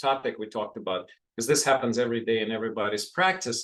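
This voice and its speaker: Here is a plain, everyday voice. A man talks fairly quickly at a medium pitch with ordinary pitch variation. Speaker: physician and professor leading a health talk. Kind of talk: online health talk. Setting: online video event.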